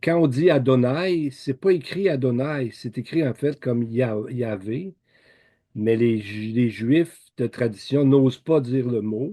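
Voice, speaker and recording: In a Quebec accent, the speaker goes at a very slow pace with a dark, mellow tone and ordinary pitch variation over a quiet background. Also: man, medium pitch for a man. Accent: Québécois. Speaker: lay Bible teacher. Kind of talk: Bible teaching talk. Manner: halting, many repetitions and fillers; informal conversational.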